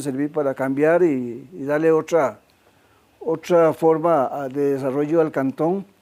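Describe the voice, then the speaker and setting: This man's voice sits at a fairly high pitch and has a dark, mellow tone. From Costa Rica, Zarcero (Alajuela). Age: 80s+. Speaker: craftsman and musician. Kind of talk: interview. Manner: halting, with fillers and repetitions.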